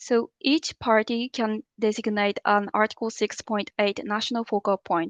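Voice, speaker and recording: An ordinary speaking voice talks at a moderate pace with fairly even intonation. The sound is dry and close with no echo, against a quiet background. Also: woman. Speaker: climate policy official. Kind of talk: training presentation.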